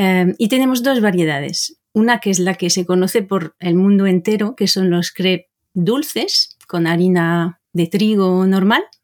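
With a French accent, a woman of medium pitch speaks at a fairly slow pace with hardly any pauses, ordinary pitch variation and very even loudness, in a very clean, silent-background recording that sounds dry and close with no echo. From Brittany, France. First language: French (speaking Spanish). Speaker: language teacher. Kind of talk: interview.

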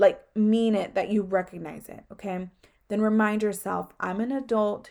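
A woman talks at a moderate pace and medium pitch, her intonation fairly even. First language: not English. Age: 20s. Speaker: podcast host. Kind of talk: casual solo talk.

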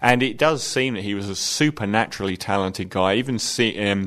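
A man talks at a moderate pace in a fairly low pitch. His pitch varies in an ordinary way. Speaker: film reviewer. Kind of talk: film review. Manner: opinionated, conversational, somewhat hesitant with filler words.

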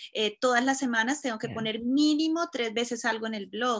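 Her voice is bright and sharp in tone, and this woman speaks at a fairly high pitch. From Colombia, Cúcuta. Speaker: fashion blogger. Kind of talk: interview.

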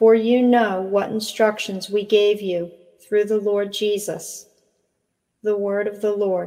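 At a very slow pace, a woman speaks at medium pitch in a monotone, flat intonation. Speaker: liturgical reader. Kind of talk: scripture reading aloud with responses.

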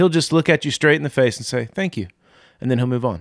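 Recorded very cleanly against a silent background, a man speaks in an ordinary speaking voice with a fairly high pitch and ordinary pitch variation. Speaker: pastor.

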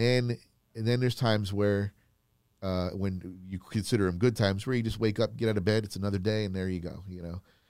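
A man with an American accent speaks fairly quickly in a plain, everyday voice at a fairly low pitch, with big swings in loudness, in a very clean recording with a silent background. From Florida. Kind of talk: casual chat.

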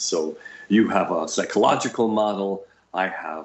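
Over noticeable background noise, a man speaks in a fairly low pitch with fairly even intonation. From New York. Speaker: psychic healer and educator. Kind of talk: casual chat.

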